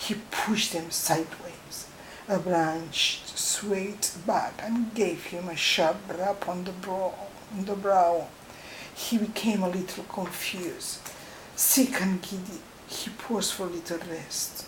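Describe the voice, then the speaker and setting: A woman's medium-pitched voice at a very slow pace, fairly even intonation, noticeable background noise. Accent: non-native. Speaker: storyteller. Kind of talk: bedtime story reading.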